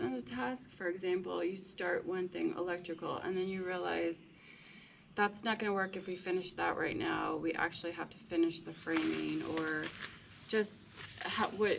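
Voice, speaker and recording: The pace is moderate. A woman talks with noticeable background noise behind her. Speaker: homesteader building a house. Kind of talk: casual chat.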